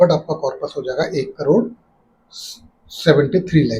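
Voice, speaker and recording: Speaking at a moderate pace, the man has a fairly high pitch and a dark, mellow tone. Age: 60s. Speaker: personal finance YouTuber. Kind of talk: explainer tutorial.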